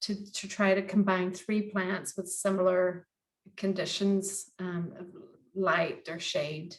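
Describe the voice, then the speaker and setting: A very slow pace marks this woman's speech. She has an American accent. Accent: American, after 25+ years in Northern Ireland. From United States. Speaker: gardening workshop tutor. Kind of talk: online workshop tutorial. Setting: video call. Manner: hesitant, many fillers.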